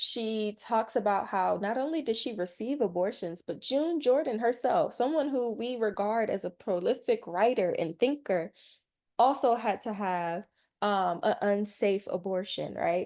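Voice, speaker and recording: Against a quiet background, a woman with a plain, everyday voice talks at a fairly high pitch with lively intonation. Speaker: teach-in speaker. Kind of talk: lecture.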